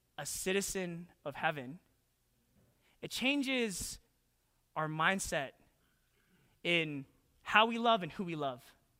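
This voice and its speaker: Pausing long and often, the speaker talks at a fairly slow pace in a Western Canadian accent. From Canada, Calgary, Alberta. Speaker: pastor. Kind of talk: sermon. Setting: church.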